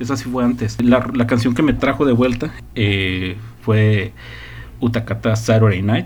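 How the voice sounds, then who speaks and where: Against noticeable background noise and audible room echo, a man speaks fairly slowly. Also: medium pitch for a man, fairly even intonation. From northern Mexico. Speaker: podcast host. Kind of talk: casual chat.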